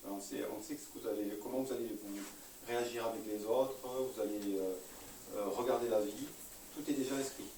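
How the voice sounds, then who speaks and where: Amid noticeable background noise and audible room echo, a man with a Parisian accent speaks at a moderate pace and medium pitch, with fairly even intonation and long, frequent pauses. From Paris, France. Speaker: enneagram trainer and therapist, speaker. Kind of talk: lecture to a live audience. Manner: hesitant, many fillers.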